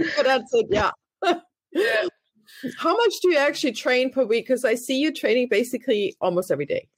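Very wide pitch swings and very even loudness at a fairly quick pace, in a German accent. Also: woman, high pitch for a woman. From Germany. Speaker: podcast host. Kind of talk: interview.

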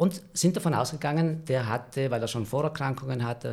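Vocal fry runs through this man's speech, which has ordinary pitch variation. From South Tyrol, valley near Merano. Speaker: screenwriter. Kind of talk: storytelling in casual chat. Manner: hesitant, many fillers.

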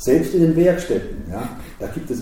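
There is audible room echo and noticeable background noise. A man speaks at a medium pitch. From Switzerland, Basel. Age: 60s. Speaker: opera house director. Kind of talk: interview. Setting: his office.

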